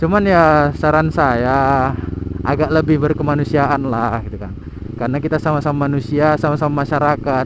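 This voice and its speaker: Moderate pace from a man with a fairly high pitch, noticeable background noise behind him. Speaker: vlogger. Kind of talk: casual vlog monologue. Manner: halting.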